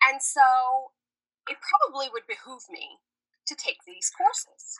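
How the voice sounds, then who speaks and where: With an American accent, a woman speaks high-pitched at a fairly slow pace, her bright, sharp tone making very wide pitch swings and big swings in loudness. She takes long, frequent pauses, and the sound is dry and close with no echo. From New York / New Jersey. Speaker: yoga therapist. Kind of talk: casual interview.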